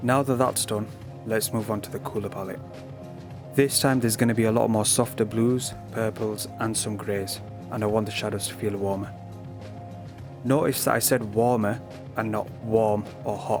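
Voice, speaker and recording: A man's fairly low voice with a British accent, moderate pace, fairly even intonation, and long, frequent pauses, with music in the background. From Britain. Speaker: digital art tutor. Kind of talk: art tutorial narration. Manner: flat, low-key.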